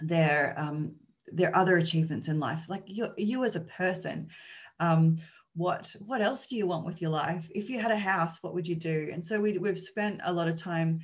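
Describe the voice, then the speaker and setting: Ordinary pitch variation marks a somewhat breathy voice. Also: woman, fairly low pitch for a woman, moderate pace. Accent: Australian. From Australia (Sydney). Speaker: charity researcher presenting on homelessness. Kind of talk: conference presentation. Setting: online conference. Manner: halting, many fillers.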